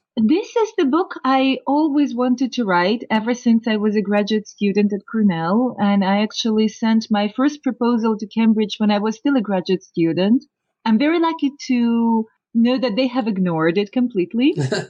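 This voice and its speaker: Her intonation is lively and her voice somewhat breathy. The woman has a fairly high pitch and talks at a moderate pace. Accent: Russian. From Soviet Union. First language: Russian. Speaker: professor of linguistics. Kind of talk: interview.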